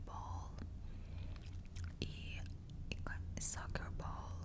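A woman at a very slow pace over loud background noise. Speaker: ASMR artist. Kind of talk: whispered ASMR ramble while eating candy. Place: home room. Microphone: lapel.

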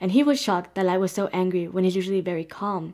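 A woman talks, and the background is quiet. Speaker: anime reaction youtuber. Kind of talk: commentary. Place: home room. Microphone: webcam.

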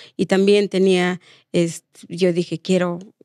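A woman speaks in a monotone, flat intonation against a quiet background, the sound dry with no echo. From Oaxaca, Mexico. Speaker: domestic workers' rights activist; guest. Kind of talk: interview. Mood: earnest, reflective. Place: studio. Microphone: studio mic.

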